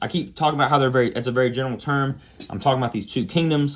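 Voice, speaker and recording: Against a quiet background, a man with a plain, everyday voice speaks at a medium pitch with ordinary pitch variation. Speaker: biology teacher. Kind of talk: recorded lecture. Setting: recorded alone without students.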